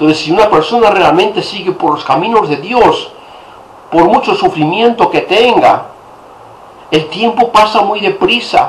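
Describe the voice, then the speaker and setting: Speaking fairly slowly with lively intonation and a high pitch, a man is heard through noticeable background noise and audible room echo. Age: 60s. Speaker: priest. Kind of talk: sermon.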